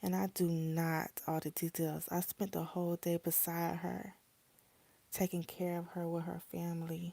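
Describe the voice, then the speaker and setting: A woman's fairly low, dark and mellow voice at a fairly slow pace, dry and close with no echo, in a very clean recording with a silent background. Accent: Southern US. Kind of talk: reading a first-person cheating story aloud. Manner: steady narration with occasional stumbles and self-corrections.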